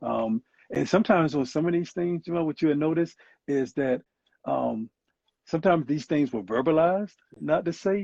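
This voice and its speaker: With a Southern US accent, the speaker has a dark, mellow tone, ordinary pitch variation, a moderate pace, and long, frequent pauses, recorded dry and close with no echo against a quiet background. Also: man, fairly high pitch for a man. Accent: Southern US (Georgia). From US South. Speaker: psychologist. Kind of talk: interview.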